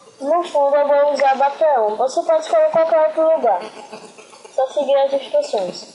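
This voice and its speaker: Noticeable background noise sits behind a woman with a high pitch and ordinary pitch variation. She keeps a moderate pace and very even loudness. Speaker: graphic design tutorial maker. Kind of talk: tutorial.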